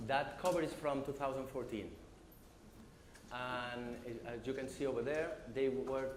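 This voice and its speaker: A man's medium-pitched voice, with noticeable background noise and audible room echo. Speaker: business development manager, conference speaker. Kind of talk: conference talk. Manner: halting, many fillers.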